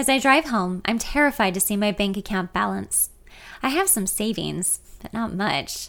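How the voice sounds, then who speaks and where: On a very clean recording with a silent background, a woman at a medium pitch speaks at a moderate pace with vocal fry and ordinary pitch variation. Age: 30s. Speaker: podcaster reading her memoir. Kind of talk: reading aloud.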